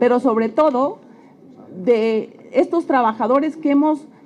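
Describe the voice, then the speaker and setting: Against noticeable background noise, a woman speaks at a high pitch. Her intonation is lively and her pace fairly slow. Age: 60s. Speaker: retired oil company worker. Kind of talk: public testimony.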